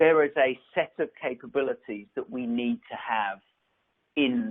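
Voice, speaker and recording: Moderate pace from a man with an English accent. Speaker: tech company executive. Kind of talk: conference presentation. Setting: virtual event. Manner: halting, many fillers and repeats.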